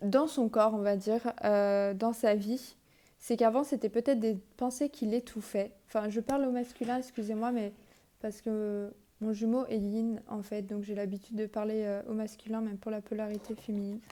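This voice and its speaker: Woman's dark, mellow, fairly high voice at a moderate pace, with fairly even intonation. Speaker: tarot card reader. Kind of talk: card reading guidance. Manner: halting, many fillers.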